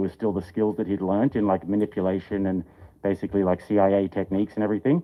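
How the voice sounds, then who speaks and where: The speaker has an Australian accent and talks at a very fast pace. The intonation stays fairly even. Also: man. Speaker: streamer. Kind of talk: casual chat. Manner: halting, filler-heavy.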